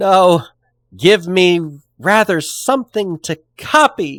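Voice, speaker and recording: This man puts on a character voice, high-pitched and lively, speaking at a very slow pace in a dry, close sound with no echo. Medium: read story. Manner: meek, pitiful.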